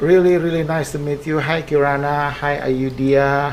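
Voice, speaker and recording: A man talks with an Indonesian accent over noticeable background noise. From Indonesia, West Java (Bandung). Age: 50s. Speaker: air force base commander. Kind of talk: podcast interview. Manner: halting.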